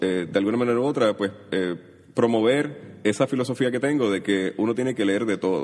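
A man's unremarkable speaking voice, pitched fairly low, with ordinary pitch variation. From Puerto Rico, Caimito (San Juan). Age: 30s. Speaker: writer. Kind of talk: interview.

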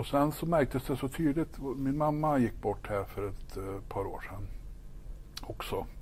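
In a normal speaking voice, the delivery moves at a fairly slow pace with ordinary pitch variation. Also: man, fairly high pitch for a man. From Sweden, northern Värmland (Ekshärad). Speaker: pastor. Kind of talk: faith testimony interview.

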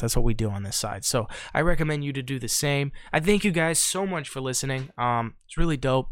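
Very fast, medium-pitched male speech. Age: 20s. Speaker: podcast host. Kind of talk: casual chat. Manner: animated.

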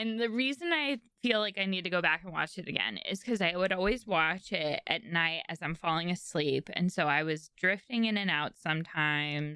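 A woman's animated, bright, sharp voice at a moderate pace, with lively intonation and hardly any pauses. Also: fairly low pitch for a woman. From San Francisco Bay Area. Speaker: podcast co-host. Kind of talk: casual chat. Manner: animated, laughs often.

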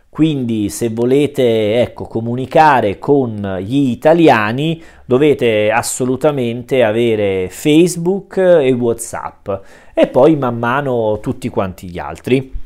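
This man's pitch sits in the medium range, and his intonation is lively. He speaks at a very slow pace on a very clean recording with a silent background. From Italy. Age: 30s. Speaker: Italian language teacher. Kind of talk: monologue explanation for learners. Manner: hesitant, many fillers.

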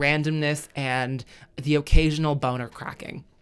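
The recording is very clean, with a silent background. Speech moves at a fairly slow pace. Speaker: podcast co-host. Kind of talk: casual banter podcast chat.

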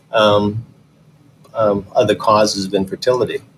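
Speaking in a Midwestern American accent, a man has a fairly low voice. His pace is moderate. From Michigan, suburban Detroit. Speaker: fertility doctor. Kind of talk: interview.

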